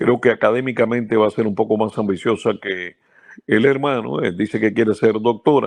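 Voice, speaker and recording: Using an unremarkable speaking voice at medium pitch, a man talks at a fairly quick pace. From central Cuba. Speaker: baseball radio announcer. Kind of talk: interview.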